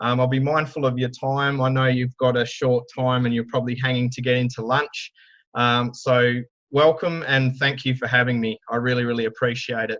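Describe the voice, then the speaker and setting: Against a quiet background, a man speaks at a moderate pace and medium pitch with monotone, flat intonation. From Australia. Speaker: digital marketing speaker. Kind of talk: conference talk. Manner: loud.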